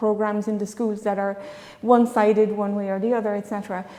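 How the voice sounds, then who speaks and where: Amid noticeable background noise and audible room echo, a woman speaks at a fairly high pitch with monotone, flat intonation. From France. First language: French. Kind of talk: panel discussion. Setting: church conference with audience.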